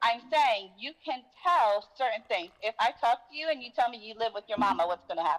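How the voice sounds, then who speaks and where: A woman speaks at a fairly high pitch and a fairly quick pace, in a plain, everyday voice with lively intonation. The sound is dry and close, with no echo. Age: 40s. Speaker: caller. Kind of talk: call-in discussion.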